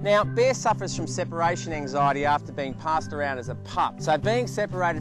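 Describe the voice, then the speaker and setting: A man moves through his words at a fairly quick pace as music plays in the background. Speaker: TV host. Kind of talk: infomercial presenter read.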